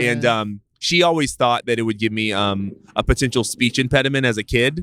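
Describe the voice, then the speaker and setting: This man has a bright, sharp tone and a Californian accent. He talks at a fairly quick pace in a dry, close sound with no echo. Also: medium pitch for a man, ordinary pitch variation. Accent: Californian American English. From US West Coast, East Oakland, California. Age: 30s. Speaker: venture capitalist. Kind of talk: casual chat. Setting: in-person recording outdoors near a public walking path.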